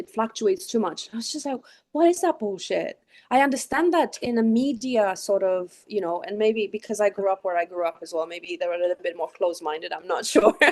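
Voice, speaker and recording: A woman's dark, mellow tone at a fairly high pitch, with lively intonation and a very fast pace. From Romania. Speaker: sound healing practitioner. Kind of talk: casual chat.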